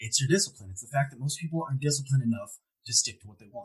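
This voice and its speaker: This man's voice is somewhat breathy. It sits at a medium pitch. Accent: American. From Ohio, US Midwest. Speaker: motivational speaker. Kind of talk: podcast interview. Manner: animated.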